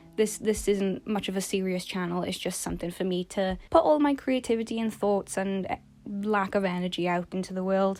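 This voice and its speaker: Quiet and at a moderate pace, a woman talks with ordinary pitch variation on a very clean recording with a silent background. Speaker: art YouTuber. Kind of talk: casual vlog monologue. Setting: recording in bed at home. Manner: quiet, low-energy; rambling, halting.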